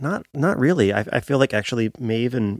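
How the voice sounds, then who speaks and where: In an ordinary speaking voice, a man with an American accent talks at a moderate pace with ordinary pitch variation, the sound dry and close with no echo. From Pennsylvania. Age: 30s. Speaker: music producer and drummer. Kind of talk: casual interview chat.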